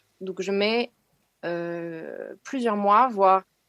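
A woman's medium-pitched voice comes through at a very slow pace. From Burgundy, France. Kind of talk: testimony.

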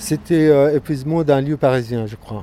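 The speaker is a man with ordinary pitch variation. He talks at a fairly slow pace. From Gaza, Palestine. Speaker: visual artist. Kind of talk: interview. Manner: halting, many repetitions.

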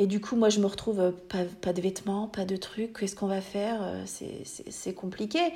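A woman speaks at a fairly slow pace with a medium pitch. Her intonation stays fairly even. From France, small village. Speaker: pediatric nursing assistant sharing birth story. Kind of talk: testimony. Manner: halting, many fillers and repetitions.

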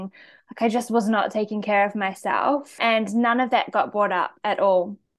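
A woman speaks in a New Zealand accent at a fairly high pitch. Her intonation is fairly even, and the background is quiet. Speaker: naturopath and medical herbalist. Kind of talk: interview conversation.

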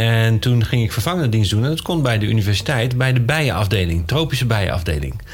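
Speaking at a very fast pace, a man uses lively intonation at a fairly low pitch. Noticeable background noise and audible room echo fill the recording. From Netherlands. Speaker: scientist. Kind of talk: interview.

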